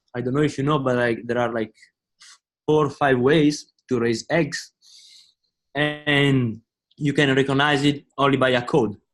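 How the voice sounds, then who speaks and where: A man with an Italian accent talks at a fairly slow pace, leaving long, frequent pauses. His pitch is fairly high, and his intonation is monotone and flat. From Italy. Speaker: business student. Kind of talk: class discussion.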